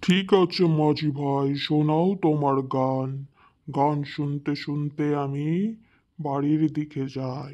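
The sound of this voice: The voice is a cartoonish character voice at a low-to-middle pitch. It moves at a very slow pace.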